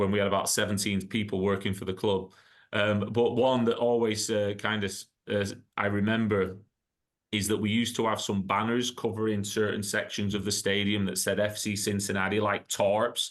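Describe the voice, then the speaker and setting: Here a man speaks in an English accent at a moderate pace. His fairly low voice stays monotone, with flat intonation. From northwest England, Blackburn. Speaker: sports club executive. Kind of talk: interview.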